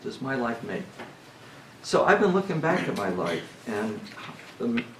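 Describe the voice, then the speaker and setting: A man speaks at a fairly slow pace with very wide pitch swings. The recording has noticeable background noise and audible room echo. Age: 70s. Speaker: retreat speaker. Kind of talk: talk at a church retreat. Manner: halting, many fillers.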